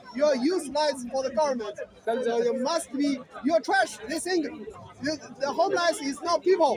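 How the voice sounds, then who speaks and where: Crowd noise sits behind an animated tone with ordinary pitch variation at a moderate pace. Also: man, extremely high pitch for a man. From China, Beijing. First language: Mandarin Chinese. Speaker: Chinese dissident speaking in street debate. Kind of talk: street debate. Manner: repetitive, animated.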